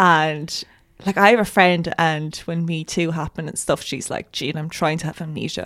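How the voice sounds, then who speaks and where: With an ordinary speaking voice, a woman talks at a moderate pace, fairly low pitch and fairly even intonation. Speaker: writer and graduate student. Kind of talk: casual interview. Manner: casual, uses 'like' a lot.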